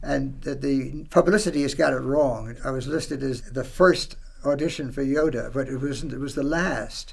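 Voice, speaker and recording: With vocal fry and hardly any pauses, a man talks at a moderate pace with fairly even intonation. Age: 80s+. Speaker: voice actor; radio drama broadcaster. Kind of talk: interview answer. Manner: casual, conversational. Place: studio. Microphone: camera far.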